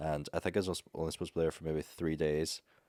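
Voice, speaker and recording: A man with an Irish accent, a very deep, low pitch, flat monotone intonation and a very fast pace, in a dry, close sound with no echo. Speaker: travel content creator. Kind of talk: casual chat. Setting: studio.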